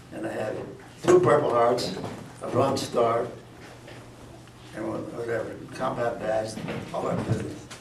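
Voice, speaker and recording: With long, frequent pauses, a man with an American accent talks with ordinary pitch variation amid noticeable background noise and audible room echo. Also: medium pitch for a man, fairly slow pace. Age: 90s. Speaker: war veteran. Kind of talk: testimony. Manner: halting.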